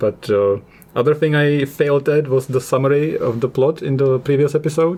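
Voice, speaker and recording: A man with a non-native accent speaks at a medium pitch. Noticeable background noise can be heard. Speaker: podcast host. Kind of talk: casual chat. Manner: fast, mumbling.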